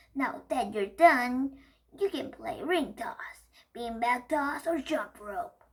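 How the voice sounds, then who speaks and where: A woman uses a put-on character voice at a high pitch. She speaks at a very slow pace. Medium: read story. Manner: friendly, encouraging.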